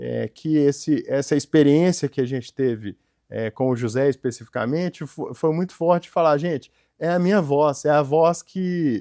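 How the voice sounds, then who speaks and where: Speaking with a Minas Gerais accent, a man with a fairly high, dark, mellow voice and ordinary pitch variation is heard in a dry, close sound with no echo on a very clean recording with a silent background. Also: moderate pace. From Minas Gerais, Brazil. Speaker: entrepreneur and company founder. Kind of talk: interview. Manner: hesitant, many fillers.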